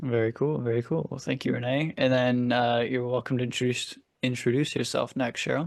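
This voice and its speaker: In a quiet background, a man with an American accent talks at a fairly quick pace in an unremarkable speaking voice, at a medium pitch with fairly even intonation. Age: 20s. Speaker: podcast host. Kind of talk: casual podcast discussion.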